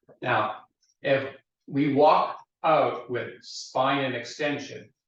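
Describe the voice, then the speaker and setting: Amid audible room echo, a man at a fairly high pitch speaks at a very slow pace with fairly even intonation. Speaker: fitness instructor. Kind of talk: guided exercise class. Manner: instructional, calm.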